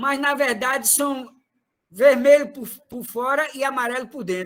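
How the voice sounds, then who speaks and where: An extremely high-pitched man with an animated tone, ordinary pitch variation and a fairly slow pace. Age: 60s. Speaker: retired trade unionist, party activist. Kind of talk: political meeting speech.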